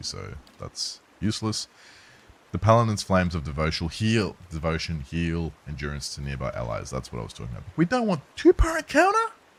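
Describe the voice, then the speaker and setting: A man is speaking at a moderate pace. Noticeable noise fills the background. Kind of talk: gaming commentary for a let's play. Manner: casual, jokey.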